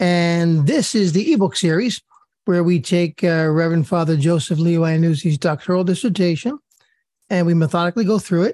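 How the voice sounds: A woman speaks at a moderate pace and fairly low pitch in a dry, close sound with no echo, her raspy voice dark and mellow with ordinary pitch variation.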